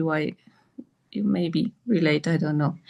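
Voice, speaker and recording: Talking at a very slow pace, a woman speaks with a non-native accent. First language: not English. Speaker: participant in spiritual group call. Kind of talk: group Q&A sharing. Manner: halting.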